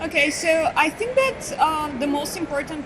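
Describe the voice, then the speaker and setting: In a Bulgarian accent, a woman talks at a moderate pace. Room echo is audible, and background noise is noticeable. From Bulgaria, Sofia. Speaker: marketing consultant. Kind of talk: interview. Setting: conference hallway.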